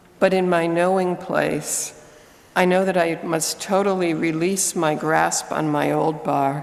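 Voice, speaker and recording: Through noticeable background noise and audible room echo, a woman with a fairly low pitch speaks at a very slow pace with fairly even intonation. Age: 60s. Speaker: lay reader at a church service. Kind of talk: reading aloud.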